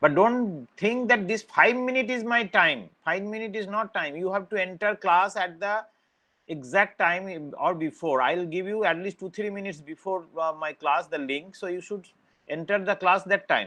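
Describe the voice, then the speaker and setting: A man's raised, projected voice, high-pitched with a bright, sharp tone, ordinary pitch variation and a moderate pace. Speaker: university lecturer. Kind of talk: online lecture. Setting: online class. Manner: loud.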